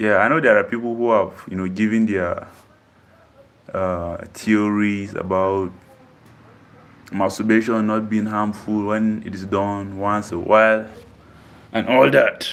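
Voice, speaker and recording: Speech comes at a fairly slow pace with fairly even intonation and long, frequent pauses, over noticeable background noise. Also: man, fairly low pitch for a man. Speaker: fitness streamer. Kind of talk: live stream Q&A. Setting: live stream.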